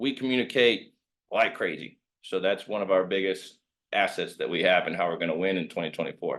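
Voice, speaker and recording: A man with a Midwestern US accent speaks at a fairly quick pace. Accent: US Midwest. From Kansas, Wichita. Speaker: real estate agent. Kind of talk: presentation. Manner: fast.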